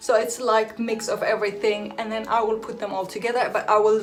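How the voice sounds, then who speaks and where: Noticeable background noise and audible room echo accompany a woman whose voice is fairly high in pitch. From Netherlands, born in Iraq. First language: Assyrian Aramaic. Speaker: hairdresser and vlogger. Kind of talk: casual vlog talk. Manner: hesitant, with many fillers.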